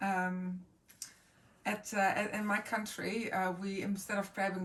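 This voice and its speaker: The woman speaks at a fairly slow pace. Her voice is somewhat breathy. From Netherlands, Groningen in the north. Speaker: speaker sharing personal items. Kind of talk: personal show-and-tell talk. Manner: halting, many fillers.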